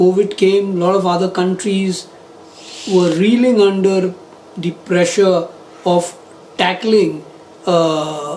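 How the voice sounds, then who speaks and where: Over noticeable background noise, a man talks at a very slow pace in a high, monotone, flat voice, leaving long, frequent pauses. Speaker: interviewer, channel host. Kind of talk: interview questions.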